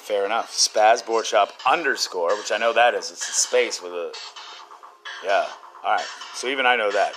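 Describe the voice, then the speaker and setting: A man speaks at a moderate pace with long, frequent pauses over noticeable background noise. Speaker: podcast host. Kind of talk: casual chat, joking. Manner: joking, rambling.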